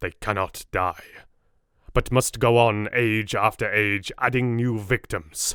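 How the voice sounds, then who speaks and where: A man performs a put-on character voice at a fairly slow pace in a very clean recording with a silent background. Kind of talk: Victorian gothic drama. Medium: read story. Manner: solemn, earnest, paternal.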